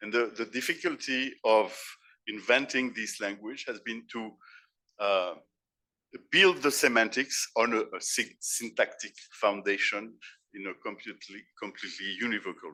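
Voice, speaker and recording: With a French accent, a man speaks in a bright, sharp tone, with ordinary pitch variation, big swings in loudness and long, frequent pauses. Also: medium pitch for a man, moderate pace. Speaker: philosopher and keynote speaker. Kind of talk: conference keynote lecture. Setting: conference stage with audience. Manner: halting, with repetitions.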